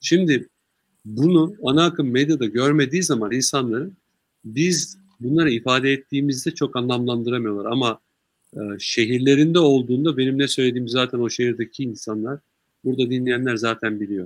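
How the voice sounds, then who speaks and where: This man's voice holds a medium pitch and moves at a moderate pace. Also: ordinary pitch variation. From Turkey, Sakarya. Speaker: party official and businessman. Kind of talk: interview. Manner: calm.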